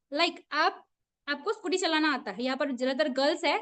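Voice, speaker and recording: Pitched high, a woman's voice carries lively intonation. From Assam, India. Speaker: teacher. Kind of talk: online class lecture. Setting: video call. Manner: conversational, frequent questions to audience.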